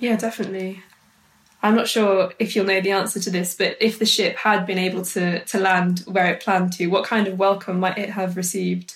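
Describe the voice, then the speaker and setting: A woman talks at a fairly quick clip, her voice somewhat breathy. Her pitch sits in the middle range, and her intonation is flat and monotone. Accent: South Welsh. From Wales, Brecon Beacons. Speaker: presenter. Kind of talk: scripted narration; interview.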